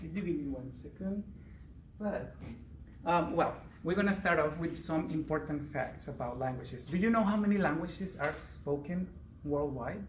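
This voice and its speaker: With a Spanish accent, a man speaks at a moderate pace in a fairly high pitch with ordinary pitch variation and vocal fry. Audible room echo is present. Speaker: Spanish teacher. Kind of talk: prepared speech at a speaking club.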